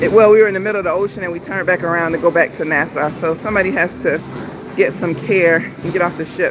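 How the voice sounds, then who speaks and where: With music in the background, the talking races along at a very fast pace. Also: woman, fairly low pitch for a woman. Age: 50s. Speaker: travel vlogger. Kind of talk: casual livestream chat. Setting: on a cruise ship.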